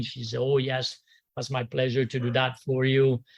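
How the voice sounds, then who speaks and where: A man with a French accent speaks at a medium pitch, his voice somewhat breathy against a quiet background. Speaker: golf instructor. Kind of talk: tribute reminiscence. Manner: halting.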